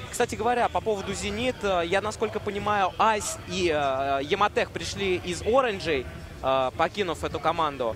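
A man with a high pitch talks at a moderate pace, his intonation lively, while noticeable background noise is present. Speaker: esports commentator. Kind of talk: live commentary.

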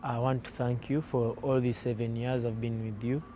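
A man's dark, mellow tone, dry with no echo, over light background noise. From Uganda. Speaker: professional footballer. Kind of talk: farewell interview. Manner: halting, with frequent repetitions and fillers. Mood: grateful, calm farewell. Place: open country.

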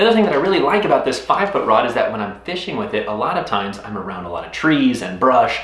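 The pace is very fast. Audible room echo can be heard. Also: man. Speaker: fishing vlogger. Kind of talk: casual vlog chat. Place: home room.

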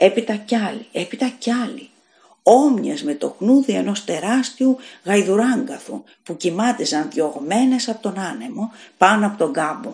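Dramatic in tone, a woman speaks at a fairly slow pace with lively intonation. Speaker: audiobook narrator. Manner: measured, suspenseful storytelling pace with tense, hushed build-up; raises intensity for screams and panic, slightly dramatic.

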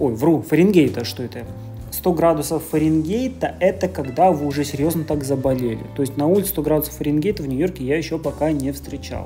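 A woman's very deep, low voice at a fairly quick pace, with faint music in the background. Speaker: vlogger. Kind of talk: casual vlog chat. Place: shop. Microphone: phone near.

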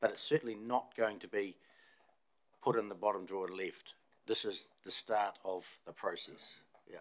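A man with a normal speaking voice talks at a moderate pace, his pitch fairly low and his intonation fairly even. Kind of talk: meeting discussion answer. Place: meeting room. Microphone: podium.

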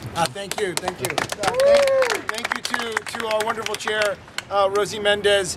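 Loud background noise sits behind a man with an American accent who talks in a high voice at a fairly slow pace with fairly even intonation. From Massachusetts. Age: 30s. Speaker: city politician. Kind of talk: public speech. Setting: outdoor event with audience. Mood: warm, celebratory. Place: street. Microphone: phone near.

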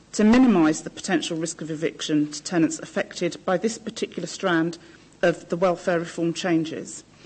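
A woman speaks with a somewhat breathy voice, keeping a moderate pace. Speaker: council housing officer; council officer presenting report. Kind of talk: presenting a report. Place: meeting room. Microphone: podium.

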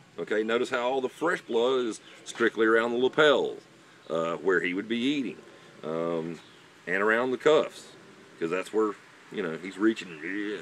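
The sound is dry with no echo as a man talks at a moderate pace over light background noise. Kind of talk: tutorial. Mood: relaxed, informative. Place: forest. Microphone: camera far.

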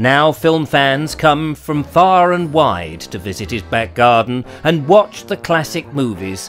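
A man with a medium pitch speaks at a very slow pace, with hardly any pauses. His pitch swings very widely, and music plays in the background. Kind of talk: news feature narration.

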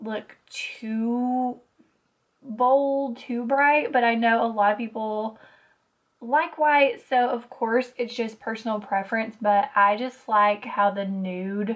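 A woman speaks at a very slow pace with fairly even intonation. The background is quiet. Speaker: beauty vlogger. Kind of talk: tutorial. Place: home room.

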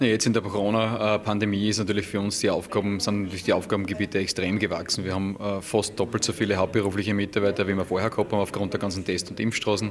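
A man talks at a very fast pace with hardly any pauses and monotone, flat intonation. His pitch is fairly low, with light background noise behind him. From Austria, Styria. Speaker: incoming rescue service commander. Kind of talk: interview. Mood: calm, matter-of-fact. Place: hall. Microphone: handheld.

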